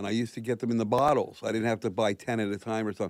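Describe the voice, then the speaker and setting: A man speaks at a very fast pace in a medium pitch, in a very clean recording with a silent background. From Philadelphia area, US. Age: 70s. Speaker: person in long-term recovery, commercial real estate broker. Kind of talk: personal testimony in a radio interview.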